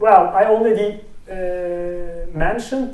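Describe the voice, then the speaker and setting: Heard through audible room echo and noticeable background noise, a man speaks with a high pitch. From Turkey. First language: Turkish. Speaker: speech recognition researcher. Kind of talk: technical talk with live demo. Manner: halting, many fillers.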